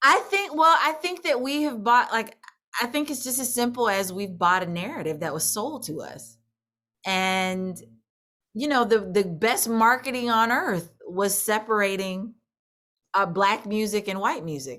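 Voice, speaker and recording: In an American accent, the speaker talks at a fairly slow pace with a bright, sharp tone and very wide pitch swings. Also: woman, fairly high pitch for a woman. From US Midwest, St. Louis, Missouri. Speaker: country singer. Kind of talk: interview. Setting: video call.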